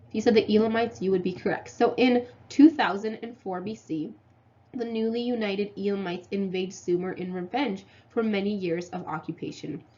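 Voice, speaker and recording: Somewhat breathy and dark, mellow in tone, a woman speaks fairly quickly at a medium pitch with ordinary pitch variation. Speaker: history teacher. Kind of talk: lecture. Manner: casual with filler ums.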